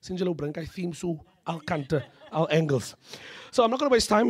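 A man talks at a very fast clip with very wide pitch swings over a quiet background. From South Africa. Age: 20s. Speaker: panel facilitator and emcee. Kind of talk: panel moderation. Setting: stage with audience. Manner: animated. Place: hall. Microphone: podium.

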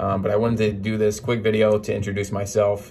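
An upbeat man with an American accent, fairly low in pitch, at a very fast pace over music in the background. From Philadelphia area, USA. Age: 20s. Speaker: real estate agent and aspiring YouTuber. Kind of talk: casual talk to camera, channel introduction. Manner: upbeat, motivational, casual with filler words. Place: office. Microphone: phone near.

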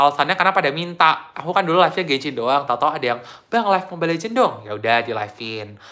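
With a bright, sharp tone and lively intonation, a man talks at a very fast pace. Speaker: gaming streamer. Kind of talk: casual live-stream chat.

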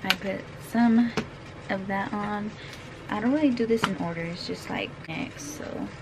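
Through loud background noise, a woman speaks at a fairly slow pace. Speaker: vlogger. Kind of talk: casual vlog chat. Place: home room. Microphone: phone near.

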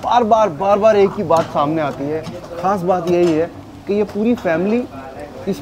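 There is noticeable background noise behind this man's voice. He has a high pitch, ordinary pitch variation and a moderate pace. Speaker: food vlogger. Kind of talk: casual vlog chat. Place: kitchen. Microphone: phone near.

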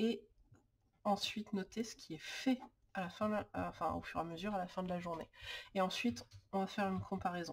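Talking at a fairly quick pace with long, frequent pauses, a woman with a medium pitch and ordinary pitch variation sounds somewhat breathy. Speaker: lifestyle YouTuber on planning and organization. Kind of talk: tutorial. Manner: hesitant, many filler sounds.

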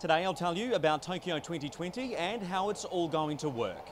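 With a New Zealand accent, a man speaks in a high voice with lively intonation. Light background noise can be heard. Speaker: sports reporter. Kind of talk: news explainer to camera. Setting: on location in Tokyo. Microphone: handheld.

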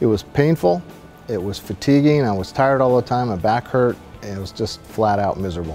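With a Pacific Northwest accent, a man talks at a moderate pace in a medium pitch while faint music plays in the background. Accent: Pacific Northwest American. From Seattle, Washington. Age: 60s. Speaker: amputee, prosthetic leg user. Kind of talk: testimonial interview answer. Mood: earnest, reflective.

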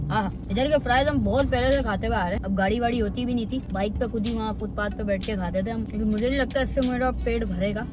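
The speaker talks at a fairly quick pace with hardly any pauses, in a dry sound with no echo and noticeable background noise. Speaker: vlogger. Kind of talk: casual vlog chat. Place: car. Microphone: phone near.

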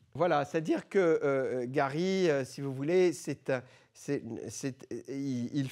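A very slow man's voice with a dark, mellow tone over a quiet background. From born in Lebanon, raised in France from age 12. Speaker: philosopher and author; guest. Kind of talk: talk to high school students. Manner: hesitant, many filler words. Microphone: handheld.

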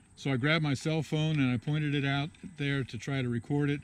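A man is speaking. His pitch variation is ordinary. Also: dry sound with no echo. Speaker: vlogger. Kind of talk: casual vlog chat. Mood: relaxed, storytelling. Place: garden. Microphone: phone near.

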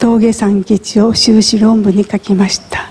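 Delivery comes at a very slow pace with fairly even intonation. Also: woman. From Japan, Hiroshima; Japan. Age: 70s. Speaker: atomic bomb survivor. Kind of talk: testimony. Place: church.

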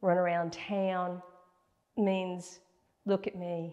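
A woman talks at a very slow pace in a dark, mellow tone. Her pitch is medium, and the background is quiet. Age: 60s. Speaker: fashion and beauty YouTuber; beauty YouTuber. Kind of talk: fashion tutorial. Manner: casual, chatty. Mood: warm, cheerful. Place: home room.

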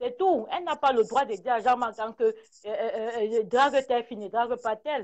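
A moderate pace against a quiet background. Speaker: caller. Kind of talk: heated debate.

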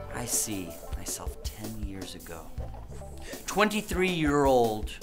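A man is speaking. Clear music plays in the background. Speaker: comic seduction guru character. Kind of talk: scripted comedic presentation speech. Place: meeting room.

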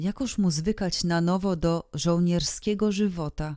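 Very slowly, a woman talks at a fairly low pitch with a dark, mellow tone and ordinary pitch variation. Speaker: audiobook narrator. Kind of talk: literary audiobook reading, scripted narration of a period short story. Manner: measured, expressive storytelling pace with archaic, ornate diction.

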